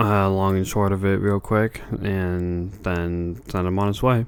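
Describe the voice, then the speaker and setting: A man's very deep, low voice, monotone and flat, at a very slow pace. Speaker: podcast co-host. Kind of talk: casual chat. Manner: soft-spoken, speaking quietly.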